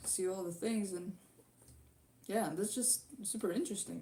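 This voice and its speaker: A woman talks in a Latvian accent at a medium pitch. Her tone is dark and mellow, with ordinary pitch variation. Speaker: YouTube guitar cover musician. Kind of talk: live stream Q&A. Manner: halting.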